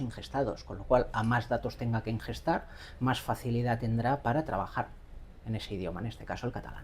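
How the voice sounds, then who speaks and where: A woman talks at a very fast pace in a very deep, low pitch. Her pitch varies in an ordinary way. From Catalonia, Barcelona. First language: Catalan (speaking Spanish). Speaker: AI educator. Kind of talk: interview.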